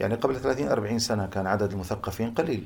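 Somewhat breathy, a man with a fairly low pitch speaks at a moderate pace. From Jordan (Amman), Palestinian family from Hebron area. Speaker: Islamic scholar. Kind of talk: interview on religious topics. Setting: at home.

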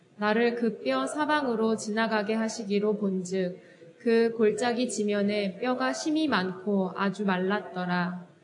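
A woman at a very slow pace and medium pitch, with very even loudness, audible room echo and noticeable background noise. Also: ordinary pitch variation. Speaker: church deacon leading scripture reading. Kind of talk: reading aloud.

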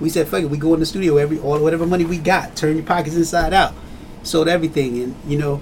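A man pitched fairly high races along at a very fast pace, his intonation fairly even, with noticeable background noise around him. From Trenton, New Jersey. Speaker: hip hop artist. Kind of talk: casual interview.

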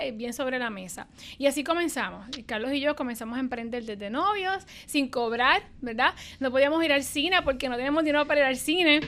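A woman speaks with a high pitch and a bright, sharp tone. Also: fairly quick pace. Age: 30s. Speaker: business executive. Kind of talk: interview.

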